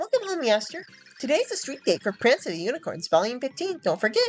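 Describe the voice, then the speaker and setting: Faint music plays behind a put-on character voice that is high-pitched, very fast and full of very wide pitch swings. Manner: cutesy, cat voice.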